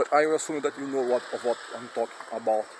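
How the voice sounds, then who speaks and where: Medium-pitched man with a Brazilian Portuguese accent and fairly even intonation, over noticeable background noise. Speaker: philosophy video creator. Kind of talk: personal monologue. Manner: halting.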